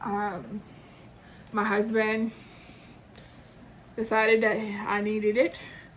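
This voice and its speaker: Very slowly and in a monotone, flat intonation, a woman speaks at a fairly high pitch with long, frequent pauses. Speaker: booktuber. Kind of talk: casual chat. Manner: halting.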